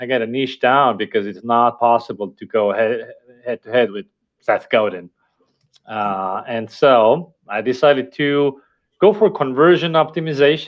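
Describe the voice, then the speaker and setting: In an Estonian accent, a man speaks at a medium pitch. His pace is moderate and his intonation lively. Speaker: company founder and marketer. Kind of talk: interview podcast.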